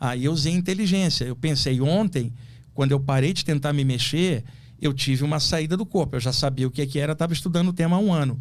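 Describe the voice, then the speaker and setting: With an unremarkable speaking voice, a man talks at a fairly quick pace, using ordinary pitch variation at a fairly high pitch. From Rio de Janeiro, Brazil. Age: 60s. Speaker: astral projection specialist. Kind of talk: podcast interview, personal story.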